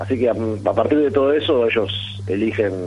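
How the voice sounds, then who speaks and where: Audible room echo surrounds a man whose somewhat breathy voice shows ordinary pitch variation. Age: 30s. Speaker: amateur rugby player. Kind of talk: radio interview.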